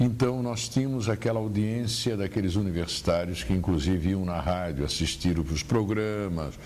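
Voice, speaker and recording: Amid noticeable background noise and audible room echo, a man with a fairly low voice talks with lively intonation and hardly any pauses. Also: moderate pace. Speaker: veteran radio journalist. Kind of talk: interview about career memories. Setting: at his home.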